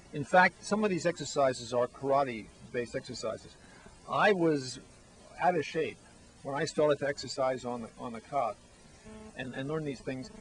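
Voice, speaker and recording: A man's fairly high voice at a moderate pace, broken by long, frequent pauses, with music in the background. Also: ordinary pitch variation. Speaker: book author. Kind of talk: interview.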